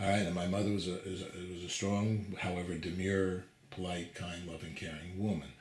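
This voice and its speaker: Over noticeable background noise and audible room echo, a man speaks fairly quickly in a very deep, low voice with monotone, flat intonation. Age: 60s. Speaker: TV interviewer. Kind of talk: interview conversation. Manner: halting, many fillers.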